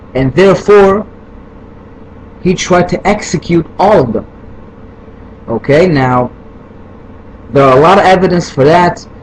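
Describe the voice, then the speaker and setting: Against noticeable background noise, a man with a non-native accent and a high pitch speaks at a fairly slow pace with lively intonation and long, frequent pauses. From Israel. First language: Hebrew. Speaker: video responder. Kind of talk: heated rant. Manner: halting, many fillers.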